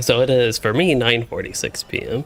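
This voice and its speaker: A man speaks in an American accent at a medium pitch. Noticeable background noise can be heard. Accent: comments vary: Asian, Canadian. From US South, Louisville, Kentucky. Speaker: gaming streamer. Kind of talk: live gameplay stream chat. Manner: casual, rambling with fillers.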